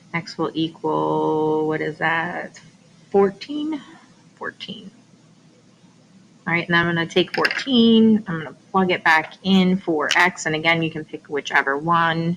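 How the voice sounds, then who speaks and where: Over noticeable background noise, a woman speaks at a fairly slow pace with fairly low pitch and ordinary pitch variation. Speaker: math teacher. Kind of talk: tutorial.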